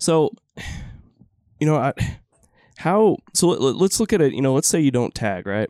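Delivered in a Texan accent at a moderate pace, the voice has a dark, mellow tone and very wide pitch swings, broken by long, frequent pauses. The recording is very clean with a silent background and a dry, close sound with no echo. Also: man, fairly high pitch for a man. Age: 30s. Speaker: podcast host. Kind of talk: casual interview.

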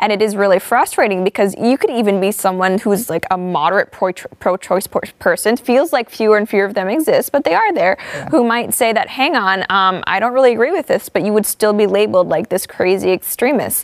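With a fairly high pitch and ordinary pitch variation, a woman talks at a fairly quick pace with hardly any pauses. The sound is dry and close with no echo, though noticeable background noise is present. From Hong Kong. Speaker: TV host. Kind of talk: casual panel discussion. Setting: studio.

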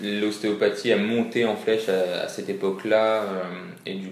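Speaking at a fairly slow pace, a man with a fairly low pitch is heard with audible room echo. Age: 20s. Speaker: physiotherapist. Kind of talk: interview.

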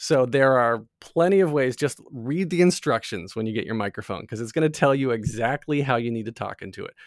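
In a very clean recording with a silent background, a man speaks in an unremarkable speaking voice at medium pitch, moving at a fairly quick pace with hardly any pauses and lively intonation. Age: 40s. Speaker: podcast host and tech company co-founder. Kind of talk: casual interview.

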